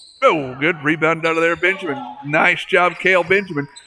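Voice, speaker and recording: A high-pitched man at a moderate pace, fairly even intonation, music in the background. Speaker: sports play-by-play announcer. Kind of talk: live commentary. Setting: school gymnasium.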